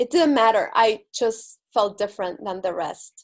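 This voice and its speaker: A woman's fairly high voice with an Argentine accent. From Argentina. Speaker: spiritual speaker and visibility coach. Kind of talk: inspirational talk. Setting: spiritual center stage with audience.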